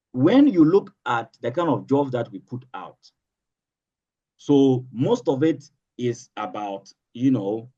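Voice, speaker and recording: A man with a Ghanaian accent, medium pitch and a dark, mellow tone, very slow with long, frequent pauses, lively intonation and big swings in loudness. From Northern Ghana. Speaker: political analyst and social commentator. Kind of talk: interview answer.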